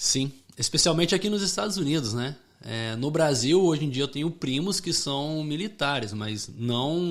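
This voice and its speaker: A man has a plain, everyday voice with a fairly high pitch. He talks at a moderate pace with lively intonation. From Rio de Janeiro, Brazil until 8, then Connecticut, US. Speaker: former US Marine, gun shop owner. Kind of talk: podcast interview. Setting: studio.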